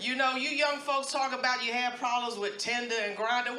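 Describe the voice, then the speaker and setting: With an American accent, the speech moves at a fairly quick pace amid noticeable background noise and audible room echo. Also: woman. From US Northeast, Harlem, New York City. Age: 60s. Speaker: stand-up comedian. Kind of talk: stand-up. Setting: stage with audience at a comedy club.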